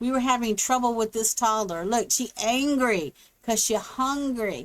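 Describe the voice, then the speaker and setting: Recorded very cleanly against a silent background, with a dry, close sound and no echo, a woman with a plain, everyday voice speaks at a fairly slow pace and fairly high pitch with ordinary pitch variation. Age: 60s. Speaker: gaming YouTuber. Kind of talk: voice-over gameplay commentary. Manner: casual, meandering.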